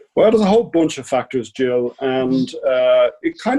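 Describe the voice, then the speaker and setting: A man with an Irish accent, medium pitch, dark and mellow tone, lively intonation, moderate pace, and a dry, close sound with no echo. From Ireland. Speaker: sleep technology company CEO. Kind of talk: podcast interview.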